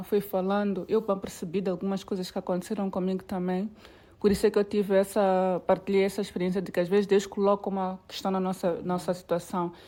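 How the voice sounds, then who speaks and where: At a fairly quick pace, a woman speaks in a monotone, flat way with a dark, mellow tone. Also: medium pitch for a woman, very clean recording, silent background. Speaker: podcast host. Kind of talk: podcast interview.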